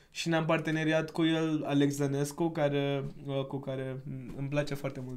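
With a non-native accent, a man with a fairly high pitch talks at a moderate pace in monotone, flat intonation, with audible room echo. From India. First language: not Romanian (speaking Romanian). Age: 20s. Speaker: podcast guest, civic project founder. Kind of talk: casual chat.

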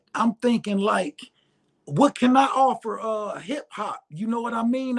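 A man with an American accent speaks in a high pitch, his pitch rising and falling in an ordinary way. The sound is dry and close, with no echo. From Detroit, Michigan. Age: 40s. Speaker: rapper. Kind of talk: casual interview livestream. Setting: online livestream.

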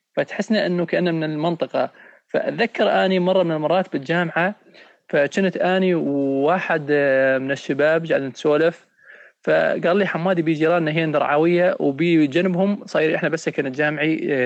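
A high-pitched male voice with very even loudness. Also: ordinary pitch variation, moderate pace. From Syria, Raqqa. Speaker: podcast host. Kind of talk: casual chat.

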